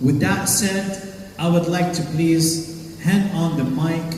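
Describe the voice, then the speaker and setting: A man's high-pitched voice, very slow in pace with ordinary pitch variation, over noticeable background noise. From Lebanese. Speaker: wedding host and MC. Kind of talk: wedding MC hosting, ceremony narration and vow prompting. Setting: live wedding event with microphone.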